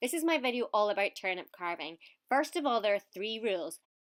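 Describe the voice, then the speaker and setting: A woman with a Scottish accent speaks at a fairly high pitch in an animated tone with very wide pitch swings, on a very clean recording with a silent background and a dry, close sound with no echo. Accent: mild Scottish. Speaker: video presenter. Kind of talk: tutorial.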